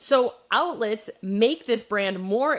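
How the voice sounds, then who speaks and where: Her intonation lively, a woman with a Midwestern US accent speaks at a fairly high pitch. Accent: Midwest accent, shows on some words. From US Midwest, Wisconsin. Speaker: business podcast host. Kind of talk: solo podcast case study talk. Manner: casual, conversational with fillers.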